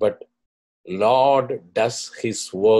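The background stays quiet as a man talks. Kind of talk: video commentary introducing recorded clips. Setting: screen-share video recording. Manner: earnest, slightly halting with fillers. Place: home room. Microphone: webcam.

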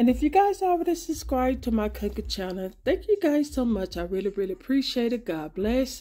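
Hardly pausing, a woman speaks at a high pitch with very wide pitch swings and a dark, mellow tone. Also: fairly quick pace. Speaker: home cooking channel host. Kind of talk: casual vlog chat. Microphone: phone near.

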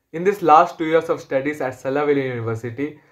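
A man talks at a fairly quick pace with ordinary pitch variation. The background is quiet. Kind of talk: testimonial. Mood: positive, grateful. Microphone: phone near.

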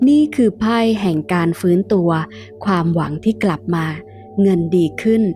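With music playing in the background, a woman speaks at a medium pitch with lively intonation. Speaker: tarot reader and teacher. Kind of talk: tarot reading with a sales pitch for her course.

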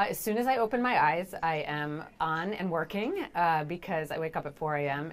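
A woman's very deep, low-pitched voice at a moderate pace, with ordinary pitch variation. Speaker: TV executive producer. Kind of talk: interview. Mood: upbeat, friendly. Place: office.

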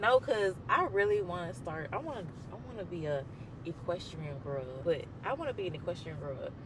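A man with an American accent, a high pitch, big swings in loudness, and noticeable background noise. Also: moderate pace, dry sound with no echo. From Mississippi, US. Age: 20s. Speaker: podcast host. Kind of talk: casual podcast talk. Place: car. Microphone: handheld.

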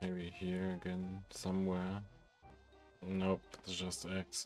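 A man talks with a very deep, low pitch. There is music in the background. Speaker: gaming channel host. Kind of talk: casual gameplay commentary.

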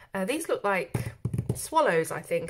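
This woman keeps a moderate pace. She has a British accent. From UK. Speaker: YouTube colouring book reviewer. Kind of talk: product review.

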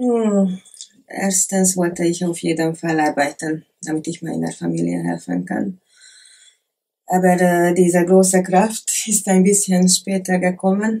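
In a Hungarian accent, a woman speaks at a fairly slow pace with fairly even intonation. The background is quiet. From Hungary, Lake Balaton area; Hungary. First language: Hungarian (speaking German). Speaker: former adult film actress; interview guest. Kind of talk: interview; interview answer. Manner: halting, many hesitations. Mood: calm, personal, reflective. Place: office.

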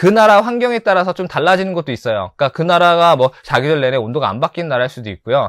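A man with a fairly high pitch speaks with very wide pitch swings, against a quiet background and a dry sound with no echo. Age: 40s. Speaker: pet shop owner and tarantula keeper. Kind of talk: self-introduction video monologue. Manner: casual, with many fillers. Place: shop. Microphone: lapel.

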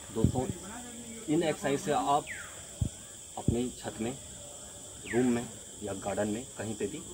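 Noticeable background noise surrounds this man. He speaks at a moderate pace. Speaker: fitness vlogger. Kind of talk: tutorial intro. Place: open country.

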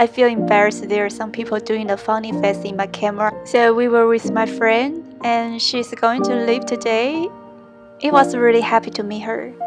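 Clear music runs underneath. The delivery keeps a moderate pace. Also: woman. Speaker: travel vlogger. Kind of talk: casual vlog chat. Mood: cheerful, slightly shy. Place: street. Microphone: phone near.

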